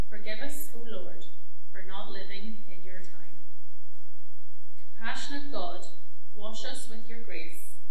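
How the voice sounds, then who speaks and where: A woman talks at a fairly slow pace, leaving long, frequent pauses. Audible room echo and light background noise are present. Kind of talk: read prayer. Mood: solemn, calm. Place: church. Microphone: podium.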